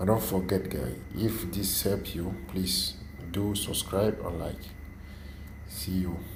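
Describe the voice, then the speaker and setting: In a French accent, a man with a very deep, low pitch and ordinary pitch variation speaks at a very slow pace with long, frequent pauses, and room echo is audible. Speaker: tech tutorial youtuber. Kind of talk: tutorial. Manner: halting.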